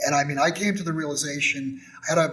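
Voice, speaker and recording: In a plain, everyday voice, a man with an American accent talks at a fairly quick pace, his fairly high pitch showing ordinary variation. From Texas. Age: 60s. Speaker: gold and silver dealer. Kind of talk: casual interview chat. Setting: studio.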